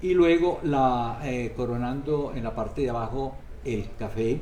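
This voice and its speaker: A man speaks at a medium pitch. The recording has audible room echo and noticeable background noise. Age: 80s+. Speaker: priest. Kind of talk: interview. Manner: halting.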